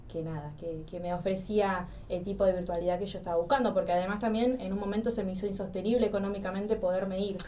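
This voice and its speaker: Audible room echo surrounds a woman of medium pitch who talks very fast with hardly any pauses and fairly even intonation. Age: 20s. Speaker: psychology student. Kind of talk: interview.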